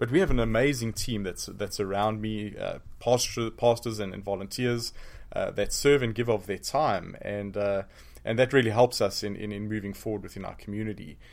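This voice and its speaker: A man's fairly low voice holds fairly even intonation at a moderate pace. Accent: South African. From South Africa. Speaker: pastor and seminary professor. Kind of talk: interview. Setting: studio.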